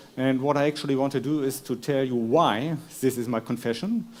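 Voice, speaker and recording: This is a man. He speaks with a German accent. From Germany. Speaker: philosopher. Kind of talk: lecture. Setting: stage with audience. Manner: halting.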